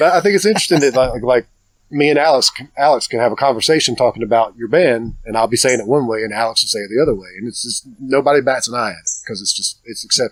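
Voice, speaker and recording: With a Southern accent, a man talks at a very fast pace. His pitch is medium, with ordinary variation. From US South, Cleveland County, North Carolina. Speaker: podcast host. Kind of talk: casual interview chat. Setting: outdoors in a backyard. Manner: halting, many restarts.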